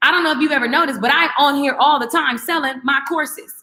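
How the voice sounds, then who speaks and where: Very fast, raised and projected speech from a woman, high-pitched with a bright, sharp tone. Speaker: online course creator and coach. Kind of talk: live-stream class. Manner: animated.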